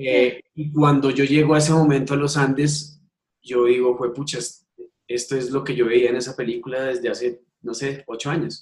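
Somewhat breathy, a man speaks at medium pitch and a moderate pace. His intonation is monotone and flat. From Colombia. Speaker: ultimate frisbee coach and PE teacher. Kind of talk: interview.

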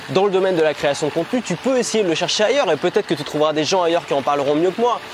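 The speaker's intonation is lively. Noticeable background noise runs underneath. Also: man. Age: 20s. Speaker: online business YouTuber. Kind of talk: vlog-style sales pitch. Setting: hotel room. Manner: casual, hesitant with fillers.

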